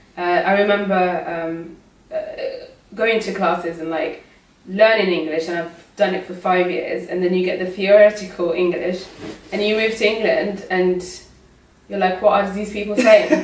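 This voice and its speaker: A woman of medium pitch at a moderate pace, fairly even in intonation, with long, frequent pauses, audible room echo and noticeable background noise. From Morocco. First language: not English. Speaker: migrant sharing experience. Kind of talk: casual chat.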